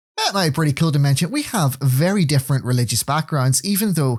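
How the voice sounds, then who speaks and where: In a Northern Irish accent, a man speaks with a fairly high, somewhat breathy voice and lively intonation, recorded very cleanly against a silent background with a dry, close sound and no echo. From Northern Ireland. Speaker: podcast co-host. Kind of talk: casual chat.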